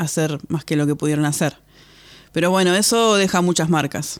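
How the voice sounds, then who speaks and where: On a very clean recording with a silent background, a woman with a fairly low pitch talks at a moderate pace with fairly even intonation. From Argentina, San Vicente (Buenos Aires province). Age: 30s. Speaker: podcast host. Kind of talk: personal storytelling monologue. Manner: halting, with frequent repetitions.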